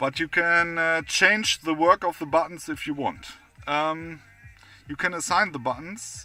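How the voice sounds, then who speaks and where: With music in the background, a man with a non-native accent speaks at a fairly slow pace in a high pitch, keeping his intonation fairly even. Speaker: product reviewer. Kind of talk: product review. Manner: halting, many fillers.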